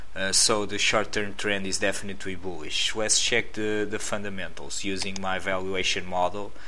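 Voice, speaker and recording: A man with a Portuguese accent speaks at a moderate pace with hardly any pauses, his fairly low pitch monotone and flat, amid noticeable background noise and audible room echo. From Portugal. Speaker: stock market analyst. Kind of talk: tutorial. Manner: halting, many fillers.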